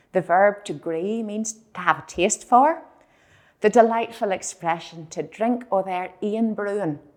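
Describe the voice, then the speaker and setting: Using a normal speaking voice, a woman talks at a fairly slow pace with medium pitch, ordinary pitch variation and big swings in loudness, on a very clean recording with a silent background. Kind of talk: educational presentation to camera.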